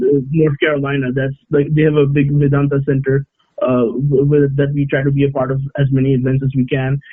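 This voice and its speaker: Keeping very even loudness, a man speaks with monotone, flat intonation. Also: fairly high pitch for a man, fairly quick pace. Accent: Bengali. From Oman, Indian family. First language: Bengali. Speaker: sports editor. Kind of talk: casual interview chat. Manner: halting, many hesitations.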